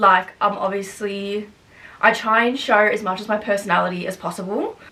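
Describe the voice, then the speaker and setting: Speaking at a fairly quick pace with an Australian accent, a woman uses a fairly high pitch over noticeable background noise. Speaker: YouTuber. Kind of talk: casual Q&A vlog. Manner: loud, outgoing; fast, chatty with fillers.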